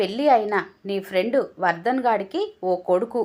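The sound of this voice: The intonation stays lively throughout this unforced reading voice.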